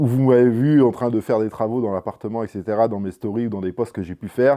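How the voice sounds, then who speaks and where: Speaking at a very fast pace, a man keeps his intonation fairly even. His pitch sits in the medium range. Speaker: YouTuber. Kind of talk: casual vlog. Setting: home apartment. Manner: loud.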